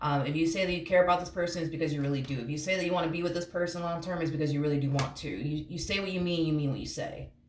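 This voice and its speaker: A woman with a fairly low pitch talks at a very fast pace, with hardly any pauses. Audible room echo and noticeable background noise surround her. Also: fairly even intonation. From Puerto Rico. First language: Spanish. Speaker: tarot reader. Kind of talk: tarot reading. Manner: casual, rambling with fillers.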